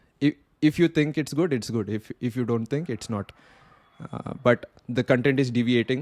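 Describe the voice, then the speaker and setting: A man with an unremarkable speaking voice talks at a medium pitch and a moderate pace. His intonation is fairly even, and the sound is dry and close with no echo. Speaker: podcast host. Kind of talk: solo podcast monologue. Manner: unscripted, repetitive.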